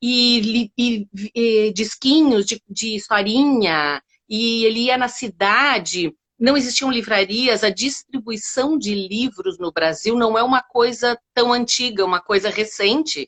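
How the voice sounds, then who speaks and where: Her pitch fairly high with ordinary variation, a woman speaks at a very slow pace. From Brazil, Rio Grande do Sul (Uruguaiana). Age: 50s. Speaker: storyteller. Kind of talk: interview.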